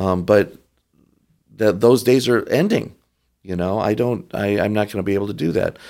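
A man with an American accent and a plain, everyday voice speaks at medium pitch and a moderate pace, with ordinary pitch variation, in a very clean recording with a silent background. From Michigan (Detroit). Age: 60s. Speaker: Orthodox priest. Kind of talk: casual chat.

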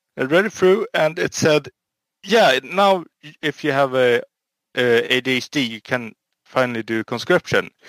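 Speaking with a Swedish accent at a fairly slow pace, a man with a medium pitch and ordinary pitch variation is recorded dry and close with no echo. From Sweden. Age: 20s. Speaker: home guard soldier. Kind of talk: casual interview.

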